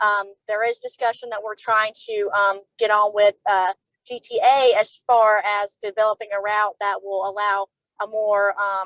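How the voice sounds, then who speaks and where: A woman of medium pitch speaks in a monotone, flat intonation, the sound dry and close with no echo. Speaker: transit agency official. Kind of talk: panel discussion. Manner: fast when nervous; hesitant, many fillers.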